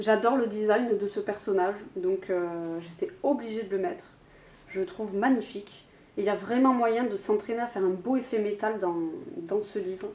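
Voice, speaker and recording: Her pitch sits at a medium level and varies in an ordinary way as the woman talks at a moderate pace. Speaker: YouTuber. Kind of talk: casual vlog talk. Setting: home, alone, camera on tripod. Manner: hesitant, many fillers.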